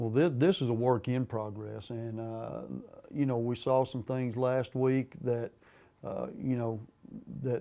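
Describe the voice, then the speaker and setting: Over a quiet background, a man with an American accent speaks at a moderate pace with medium pitch and fairly even intonation. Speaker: high school football coach. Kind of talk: interview answer. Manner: hesitant, many fillers.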